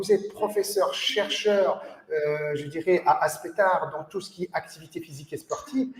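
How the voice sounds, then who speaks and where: Lively intonation at a moderate pace. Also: man. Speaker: sports federation official and host. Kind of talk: interview. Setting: video call.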